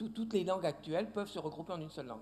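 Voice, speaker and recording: This voice has a dark, mellow tone and lively intonation. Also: man. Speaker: linguist, lecturer. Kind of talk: Q&A after a lecture. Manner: hesitant, repeats words.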